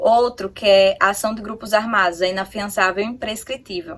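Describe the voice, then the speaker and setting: This woman's medium-pitched speech holds fairly even intonation at a moderate pace. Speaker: exam-prep youtuber. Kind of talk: tutorial. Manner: halting.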